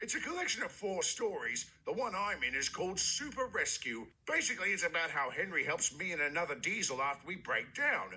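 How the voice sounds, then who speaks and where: In a cartoonish character voice, a man speaks at a high pitch. He moves at a fairly quick pace with hardly any pauses. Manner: polite, cheerful.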